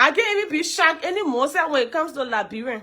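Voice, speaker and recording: Speaking very fast in a raised, projected voice, a woman talks at an extremely high pitch with very wide pitch swings. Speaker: live stream host. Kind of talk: casual live stream commentary. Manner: animated.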